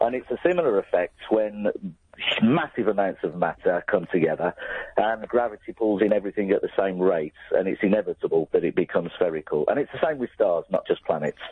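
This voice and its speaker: Speaking at a fairly quick pace with a Birmingham accent, a man is heard over noticeable background noise. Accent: Brummie. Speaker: caller. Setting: phone call.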